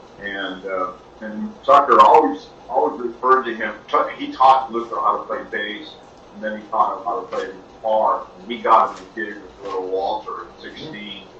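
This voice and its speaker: A man with an American accent at a moderate pace, big swings in loudness, audible room echo and noticeable background noise. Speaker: blues musician. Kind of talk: interview.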